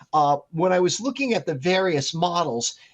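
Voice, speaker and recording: Over a quiet background, a man with an ordinary speaking voice talks at a fairly slow pace with lively intonation. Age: 60s. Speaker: meteorologist. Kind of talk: podcast interview.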